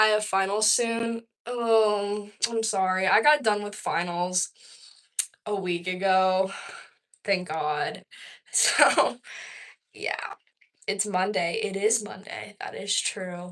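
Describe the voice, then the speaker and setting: Speaking very slowly with long, frequent pauses, a woman with an American accent keeps a medium pitch and ordinary pitch variation. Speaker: vlogger. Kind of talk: casual chat. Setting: livestream.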